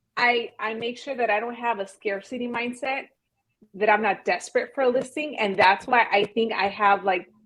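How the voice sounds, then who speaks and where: A woman with a normal speaking voice, her pitch fairly high and varying in an ordinary way, at a moderate pace. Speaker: real estate agent. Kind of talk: podcast interview. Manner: direct, confident.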